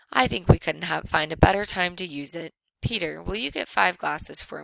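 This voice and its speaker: A raspy, put-on character voice sits at a middle pitch. It moves at a moderate pace. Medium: read story.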